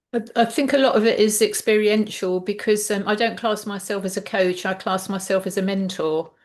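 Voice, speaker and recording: Her pace is fairly quick, with hardly any pauses. This woman has a medium-pitched voice and fairly even intonation. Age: 60s. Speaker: health mentor. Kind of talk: interview. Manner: halting, many fillers and repetitions.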